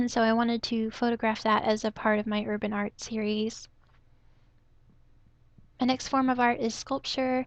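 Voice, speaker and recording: The speaker is soft-spoken, with monotone, flat intonation at a moderate pace. Long pauses come often. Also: woman, fairly high pitch for a woman. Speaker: photography hobbyist / vlogger. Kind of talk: casual talk to camera.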